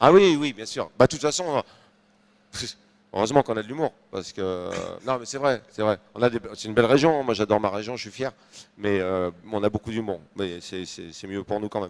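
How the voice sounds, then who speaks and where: Fairly low in pitch, a man talks at a fairly quick pace with long, frequent pauses, ordinary pitch variation and big swings in loudness, in a dry, close sound with no echo. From northern France (Nord). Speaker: comedian. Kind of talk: interview. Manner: hesitant, many fillers.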